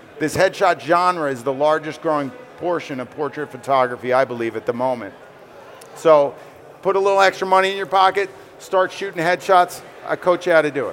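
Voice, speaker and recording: Amid noticeable background noise, a man with an American accent talks at a fairly quick pace and a fairly high pitch, with ordinary pitch variation. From New York. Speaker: headshot photographer. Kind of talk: interview at trade fair stage. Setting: stage with audience at trade fair.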